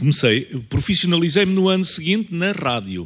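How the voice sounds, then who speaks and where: Very wide pitch swings mark a man's voice in a very clean recording with a silent background. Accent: European Portuguese. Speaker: veteran journalist. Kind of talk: panel talk. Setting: university auditorium panel.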